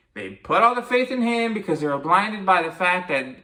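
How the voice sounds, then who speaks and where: A man talks with lively intonation and an animated, bright, sharp tone on a very clean recording with a silent background. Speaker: wrestling commentary youtuber. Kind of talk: opinion rant. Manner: stuttering.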